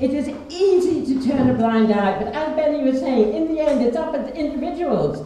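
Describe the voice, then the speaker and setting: Lively intonation marks this woman's high-pitched voice at a moderate pace. Noticeable background noise is present. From Ireland. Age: 80s+. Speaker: peace activist, playwright. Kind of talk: public speech at a meeting.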